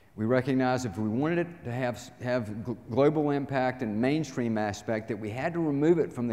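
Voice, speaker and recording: A man talks with a Southern US accent at a medium pitch. His tone is dark and mellow, and audible room echo surrounds him. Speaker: inspirational speaker. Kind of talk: talk to live audience. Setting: stage with audience.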